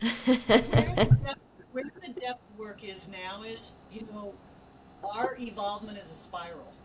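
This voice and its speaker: Over noticeable background noise, a woman talks at a fairly slow pace with an American accent. Her pitch varies in an ordinary way, while her loudness swings widely. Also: fairly high pitch for a woman. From Texas. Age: 60s. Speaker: author and life coach. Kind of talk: casual chat.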